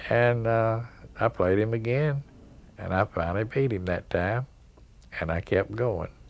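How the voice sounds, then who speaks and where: On a very clean recording with a silent background, a man with an East Tennessee accent talks at a fairly slow pace in a medium pitch, with ordinary pitch variation and long, frequent pauses. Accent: Southern US (East Tennessee). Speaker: pool player. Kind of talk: interview, storytelling. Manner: halting.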